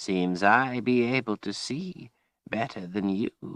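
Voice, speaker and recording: A raspy, put-on character voice at a fairly slow pace, recorded dry and close with no echo. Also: man, medium pitch for a man. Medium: read story. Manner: archaic folksy grammar, cryptic.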